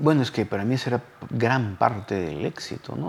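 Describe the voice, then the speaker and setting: This man's voice sits at a medium pitch, with lively intonation. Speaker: television screenwriter. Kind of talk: interview.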